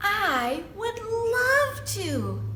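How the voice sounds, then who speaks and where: The put-on character voice is squeaky. Clear background noise can be heard behind it. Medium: read story. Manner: sweet, naive.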